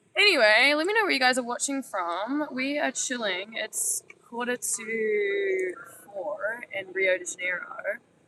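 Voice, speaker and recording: Against noticeable background noise, a woman speaks at a fairly slow pace in a fairly high pitch. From New Zealand. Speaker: travel vlogger. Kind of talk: casual vlog chat. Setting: outdoors on a beach.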